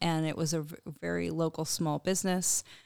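A woman with a plain, everyday voice and an American accent speaks at a fairly slow pace and a fairly low pitch. The recording is very clean, with a silent background. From Connecticut. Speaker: humanitarian organization president. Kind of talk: interview. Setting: studio.

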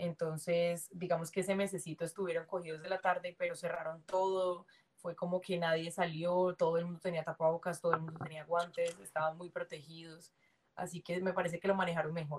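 A woman with a fairly low pitch talks at a fairly quick pace in monotone, flat intonation. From Colombia, Cali. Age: 20s. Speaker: dancer. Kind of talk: casual interview.

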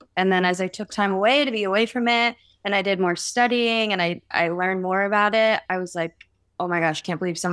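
An ordinary speaking voice with an American accent at a fairly quick pace, in a very clean recording with a silent background. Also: woman. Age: 20s. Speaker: singer and skateboarder. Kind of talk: interview testimony.

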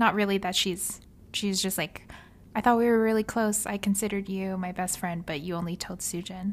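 Delivered at a fairly quick pace, a plain, everyday voice keeps fairly even intonation. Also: woman, medium pitch for a woman. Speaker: podcast co-host. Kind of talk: casual chat. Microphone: new mic.

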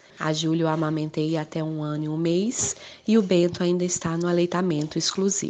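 Noticeable background noise is present while the speaker's intonation remains fairly even. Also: woman, fairly low pitch for a woman, moderate pace. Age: 30s. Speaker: teacher and mother. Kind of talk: interview testimony. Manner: halting.

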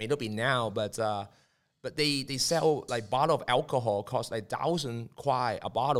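A medium-pitched man's voice in a Cantonese accent, at a moderate pace with ordinary pitch variation, on a very clean recording with a silent background. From Hong Kong. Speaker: media and marketing entrepreneur. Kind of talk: casual chat. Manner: halting.

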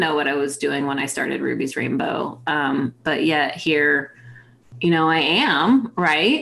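A woman speaking at a fairly slow pace. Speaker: guest interviewer, nonprofit founder. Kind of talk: casual interview chat. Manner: animated, laughs often.

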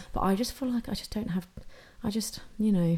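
A woman speaks at a fairly quick pace in a somewhat breathy voice with a dark, mellow tone and ordinary pitch variation. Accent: British. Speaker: podcast co-host. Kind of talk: casual chat.

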